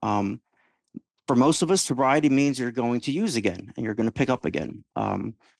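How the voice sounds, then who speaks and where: A man's medium-pitched voice with vocal fry and lively intonation, very fast, in a dry, close sound with no echo and a quiet background. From Georgia. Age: 40s. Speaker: podcast host in addiction recovery. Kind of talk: casual interview testimony. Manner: halting.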